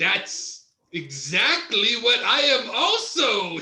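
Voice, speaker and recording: Speaking at a very slow pace, a man puts on a character voice pitched extremely high, with a slight echo around it. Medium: stage play. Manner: enthusiastic, playful.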